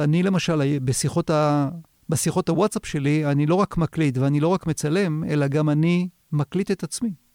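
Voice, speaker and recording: Recorded very cleanly against a silent background, with a dry, close sound and no echo, a man with a fairly high pitch and an unremarkable speaking voice talks at a moderate pace with fairly even intonation and very even loudness. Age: 50s. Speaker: video marketing consultant. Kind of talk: interview. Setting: studio.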